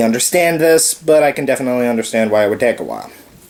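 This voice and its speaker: Words rush out at a very fast pace amid noticeable background noise. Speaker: video blogger. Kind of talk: casual monologue.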